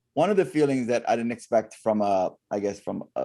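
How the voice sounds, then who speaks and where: In an American accent, the speaker moves at a fairly quick pace with lively intonation and a dark, mellow tone. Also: man. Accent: American and Canadian. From Canada and US. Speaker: comedian and stuttering advocate. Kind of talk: interview. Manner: halting, repetitions.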